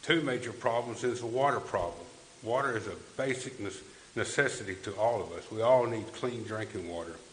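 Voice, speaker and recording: Speaking with a Tennessee accent at a medium pitch, a man moves at a fairly quick pace with ordinary pitch variation, amid noticeable background noise and audible room echo. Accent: Southern US, West Tennessee. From West Tennessee. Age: 60s. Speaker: political candidate. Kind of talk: candidate forum speech. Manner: halting.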